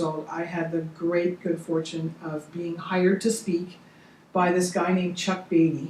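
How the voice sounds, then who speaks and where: A woman with a fairly low pitch talks at a moderate pace, with audible room echo and noticeable background noise. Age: 60s. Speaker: motivational speaker and coach. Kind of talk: interview. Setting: studio.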